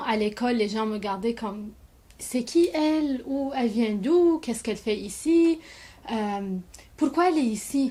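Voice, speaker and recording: At a fairly slow pace, a woman speaks in a high pitch with a dark, mellow tone and ordinary pitch variation. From Lebanon. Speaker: immigrant. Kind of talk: personal testimony to camera.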